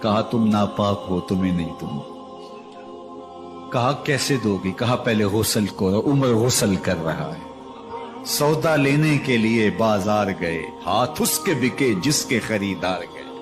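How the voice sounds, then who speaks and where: Music plays in the background. A man speaks at a medium pitch with lively intonation. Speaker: Islamic preacher delivering a bayan. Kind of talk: emotional religious sermon (bayan) telling stories of a caliph. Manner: passionate, dramatic, with exclamations.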